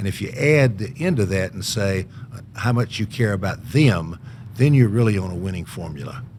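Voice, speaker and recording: With a Southern US accent, a man speaks at a moderate pace in a fairly low pitch with lively intonation. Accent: Southern US (Georgia). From US South, Georgia (Columbus). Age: 70s. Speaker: author. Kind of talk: podcast interview.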